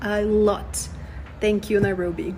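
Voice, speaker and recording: With a Portuguese accent, a woman talks at a moderate pace over noticeable background noise. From Brazil. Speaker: expat sharing experiences. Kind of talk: casual vlog list.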